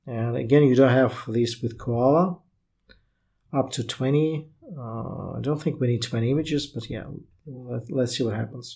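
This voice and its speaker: Somewhat breathy and dark, mellow in tone, a man with a non-native accent talks at a moderate pace and medium pitch with fairly even intonation. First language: not English. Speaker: tech YouTuber reviewing AI writing tools. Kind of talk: software tutorial, screen walkthrough. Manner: casual, hesitant with fillers.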